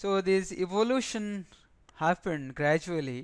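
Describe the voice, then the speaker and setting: At a fairly slow pace, a man talks in an ordinary speaking voice with ordinary pitch variation. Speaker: invited webinar speaker on power systems. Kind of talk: lecture. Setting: webinar.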